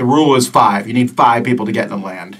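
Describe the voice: Using a put-on character voice, a man rattles along at a very fast pace in a gravelly tone at medium pitch.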